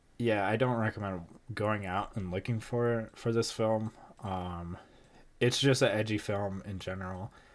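On a very clean recording with a silent background, a man speaks fairly slowly in a plain, everyday voice, his pitch fairly low and his intonation fairly even. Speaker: podcast co-host. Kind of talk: casual chat.

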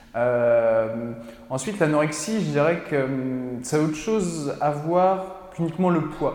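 A man with a fairly high voice talks at a very slow pace and ordinary pitch variation, with audible room echo and noticeable background noise. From France, Mayenne (Laval). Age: 20s. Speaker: podcaster and cinema worker, former footballer. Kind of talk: casual interview. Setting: studio. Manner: halting, many fillers.

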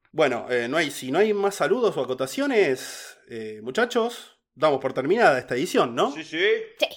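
The pitch swings very widely. The speaker talks in a Rioplatense accent. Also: man, fairly high pitch for a man, moderate pace. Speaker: podcast host narrating true crime cases. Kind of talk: casual chat; storytelling narration of a true crime case.

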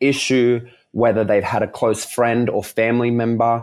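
In an Australian accent, a man talks at a fairly slow pace. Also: very clean recording, silent background. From Melbourne, Australia. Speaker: dancer and performer. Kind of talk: casual chat.

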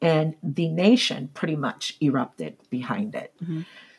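An unremarkable speaking voice from a woman with an American accent, fairly low in pitch, at a fairly slow pace with lively intonation. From US, military bases. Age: 50s. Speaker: real estate agent. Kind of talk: interview.

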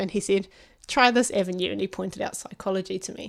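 A woman with a medium pitch talks at a very fast pace. The recording is very clean, with a silent background. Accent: New Zealand. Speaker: psychology doctoral student. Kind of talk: casual chat.

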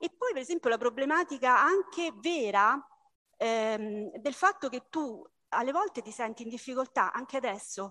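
A woman with a high pitch projects a raised voice in a bright, sharp tone, using lively intonation at a moderate pace. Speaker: book club member. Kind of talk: book club discussion.

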